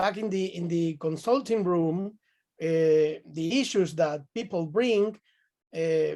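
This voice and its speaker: This man has a high pitch and a dark, mellow tone. He speaks at a very slow pace with ordinary pitch variation. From Venezuela. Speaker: psychotherapist. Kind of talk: casual chat. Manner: halting.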